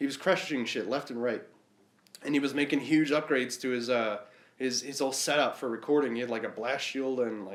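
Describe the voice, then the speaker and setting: Here a man talks with a slight Boston accent at a fairly quick pace. His medium-pitched voice keeps a fairly even intonation. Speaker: podcast host. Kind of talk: casual chat.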